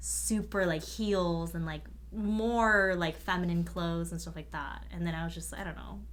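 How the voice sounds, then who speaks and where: A woman's moderately paced voice in a Californian accent, with audible room echo. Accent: Californian casual. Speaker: engineer and co-founder. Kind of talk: casual chat. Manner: casual, many fillers.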